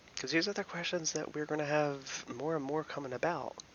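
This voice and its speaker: Noticeable background noise accompanies a man speaking in an American accent. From US, Philadelphia. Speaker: YouTube commentator. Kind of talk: casual commentary.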